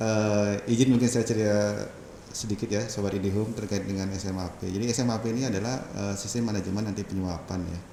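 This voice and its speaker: Speaking very fast with a strong Balinese accent, a man holds a flat, monotone delivery in a fairly low register with a dark, mellow tone. Room echo can be heard around him. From Bali, Indonesia. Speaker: telecom company manager. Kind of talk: casual interview.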